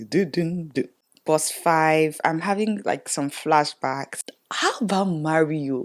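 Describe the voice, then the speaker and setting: A soft-spoken woman's fairly low voice at a fairly slow pace, with ordinary pitch variation. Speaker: beauty vlogger. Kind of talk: casual chat.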